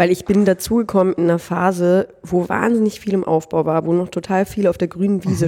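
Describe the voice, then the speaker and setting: A woman's fairly low, dark and mellow voice, fairly quick, with fairly even intonation. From northern Germany. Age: 30s. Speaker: social business executive. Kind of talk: interview. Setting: studio.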